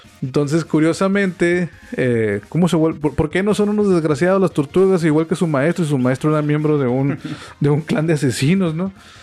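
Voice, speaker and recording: A man's fairly high voice at a fairly quick pace, very even in loudness, with noticeable background noise. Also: ordinary pitch variation. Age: 40s. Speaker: podcast host. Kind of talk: casual chat. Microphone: equipment sometimes sounds bad.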